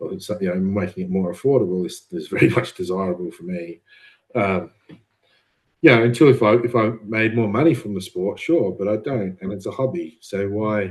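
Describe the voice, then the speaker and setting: Speaking in an Australian accent at a fairly low pitch, a man keeps a moderate pace with lively intonation and big swings in loudness. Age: 30s. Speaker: amateur bodybuilder. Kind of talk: podcast interview.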